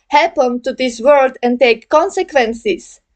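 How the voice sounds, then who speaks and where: A woman with a non-native accent speaks in a high pitch with ordinary pitch variation. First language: not English. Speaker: gaming video creator. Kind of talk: video essay monologue. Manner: halting, many fillers.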